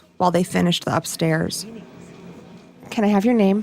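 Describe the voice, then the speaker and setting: Speaking in an American accent, a woman has a medium pitch and fairly even intonation. Noticeable background noise runs behind her. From Michigan. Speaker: documentary podcast host. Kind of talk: scripted narration.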